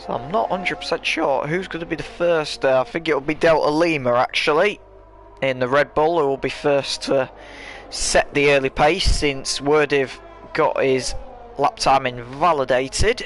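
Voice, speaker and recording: A man's fairly high voice with ordinary pitch variation, over music in the background. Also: moderate pace. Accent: English. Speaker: sim racing commentator. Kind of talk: live commentary.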